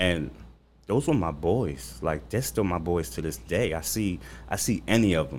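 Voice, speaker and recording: A man's very deep, low voice with vocal fry and very wide pitch swings. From Long Island, New York. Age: 40s. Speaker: chef. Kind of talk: casual interview. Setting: studio.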